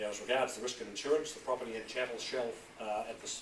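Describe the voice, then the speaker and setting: Noticeable background noise sits behind speech whose intonation is fairly even. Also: man. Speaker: auctioneer. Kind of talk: property auction address. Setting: auction room.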